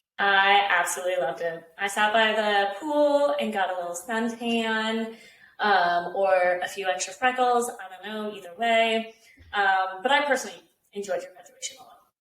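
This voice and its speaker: A woman at a moderate pace, big swings in loudness, audible room echo. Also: medium pitch for a woman, ordinary pitch variation. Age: 20s. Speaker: podcast co-host. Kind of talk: casual chat.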